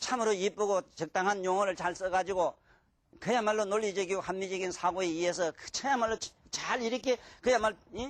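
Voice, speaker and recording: At a fairly quick pace, the speaker sounds animated, with a strong Gyeongsang accent. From Gyeongsang province, Korea (Mungyeong). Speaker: lecturer on classical Chinese texts. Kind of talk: lecture. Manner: animated, colloquial.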